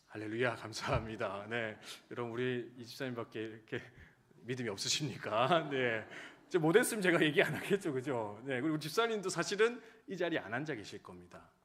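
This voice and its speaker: In a room with audible echo, a man talks fairly quickly at a medium pitch, with lively intonation and big swings in loudness. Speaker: pastor. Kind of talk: sermon. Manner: fast.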